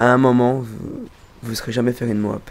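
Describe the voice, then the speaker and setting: Here a man is speaking. He has a slight Belgian accent. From Belgium. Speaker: gamer. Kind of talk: casual chat. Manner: halting.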